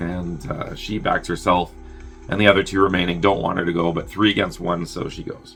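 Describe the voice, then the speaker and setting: A man's very deep, low voice at a fairly quick pace, ordinary pitch variation, music in the background. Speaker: movie reviewer. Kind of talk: movie plot synopsis. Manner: casual, chatty.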